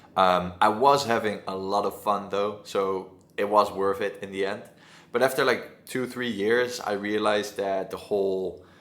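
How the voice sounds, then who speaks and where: A man with a Dutch accent speaks at a moderate pace with fairly even intonation. Room echo is audible. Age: 20s. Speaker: agency owner. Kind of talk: casual talk to camera. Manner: halting.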